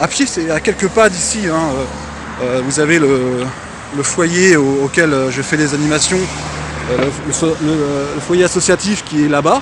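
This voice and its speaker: A man at a fairly high pitch, moderate pace and ordinary pitch variation, over noticeable background noise. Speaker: DJ and event host. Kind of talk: vlog. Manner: casual with many hesitations.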